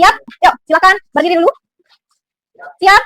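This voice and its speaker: Bright and sharp in tone, a woman speaks in a raised, projected voice with an upbeat tone. The sound is dry and close, with no echo. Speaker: biology teacher. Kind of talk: classroom teaching to students. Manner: upbeat, encouraging.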